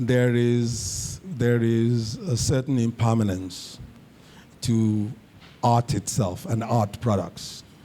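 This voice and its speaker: A man speaks very slowly at a medium pitch, his loudness very even and his intonation fairly even. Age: 60s. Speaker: filmmaker. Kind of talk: speech. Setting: reception with audience.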